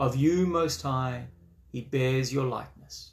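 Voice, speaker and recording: Somewhat breathy, this man's delivery runs at a fairly slow pace. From South Africa. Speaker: Anglican priest leading a study group. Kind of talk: lecture. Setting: online video session. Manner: halting, with frequent fillers.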